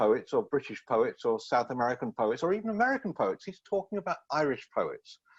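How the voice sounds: Talking at a fairly quick pace, a man makes big pitch swings with a slightly husky edge.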